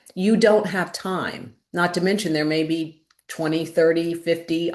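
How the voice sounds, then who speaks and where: Speaking at a fairly slow pace, a woman uses a fairly low pitch. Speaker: former caregiver and wildfire survivor, webinar speaker. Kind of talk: webinar presentation. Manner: emphatic.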